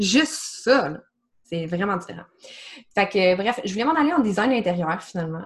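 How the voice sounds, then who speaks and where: A woman at a medium pitch makes very wide pitch swings at a moderate pace, leaving long, frequent pauses. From Quebec, small region outside Montreal. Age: 30s. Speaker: marketing project manager and holistic coach. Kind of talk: casual interview.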